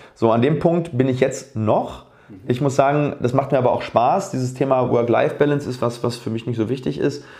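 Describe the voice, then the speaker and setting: Using a plain, everyday voice, a man speaks at a fairly quick pace with a medium pitch and fairly even intonation. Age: 30s. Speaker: dentist and oral surgeon. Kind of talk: casual interview. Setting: at home.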